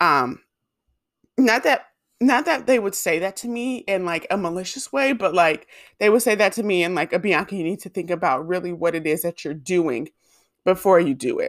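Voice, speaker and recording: On a very clean recording with a silent background, a woman at a medium pitch talks at a moderate pace with lively intonation in a plain, everyday voice. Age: 20s. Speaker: podcast host and YouTuber. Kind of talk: casual monologue. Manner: casual, filler-heavy.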